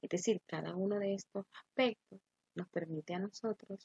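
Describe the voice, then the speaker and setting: A woman's somewhat breathy voice, fairly low in pitch, with a Honduran accent and a dry, close sound with no echo. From Honduras. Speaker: teacher. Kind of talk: lecture.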